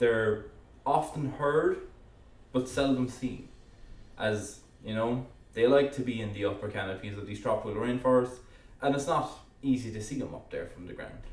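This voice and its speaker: A man with an Irish accent speaks at a moderate pace in a medium pitch, his loudness swinging widely, with long, frequent pauses and audible echo from the room. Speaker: educational YouTuber. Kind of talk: narrated explainer. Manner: casual with hesitations.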